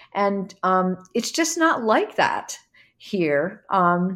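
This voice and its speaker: On a very clean recording with a silent background, a woman with an American accent speaks very slowly at a medium pitch, her voice swinging very widely in pitch. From New Jersey, near Philadelphia. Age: 60s. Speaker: dancer and choreographer. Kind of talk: interview, personal reminiscence.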